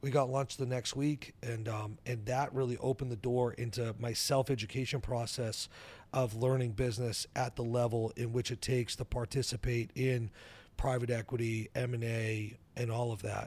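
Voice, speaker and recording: A man with an American accent talks at a moderate pace and medium pitch, somewhat breathy and flat in intonation. The recording is very clean, with a silent background. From New Hampshire, US. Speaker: entrepreneur. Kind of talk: interview.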